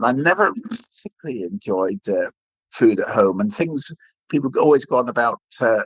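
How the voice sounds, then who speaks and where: A man with an English accent, very wide pitch swings and a moderate pace. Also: medium pitch for a man. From England. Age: 60s. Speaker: retired food critic. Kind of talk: podcast interview.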